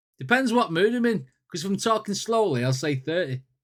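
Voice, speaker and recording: A man with a northern English accent and very wide pitch swings. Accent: northern English twang. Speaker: music reaction youtuber. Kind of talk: casual reaction commentary. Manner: casual, repetitive.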